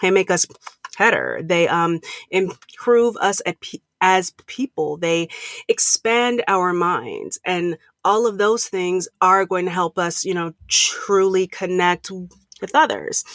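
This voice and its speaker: Speaking at a very slow pace, a woman keeps a medium pitch with ordinary pitch variation. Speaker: empathy and communications consultant, keynote speaker. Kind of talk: interview answer.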